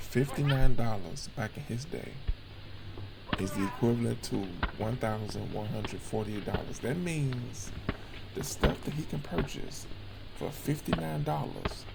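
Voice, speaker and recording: Over music in the background, a man with a fairly low pitch and lively intonation speaks at a moderate pace with long, frequent pauses. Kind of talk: casual commentary over archival footage.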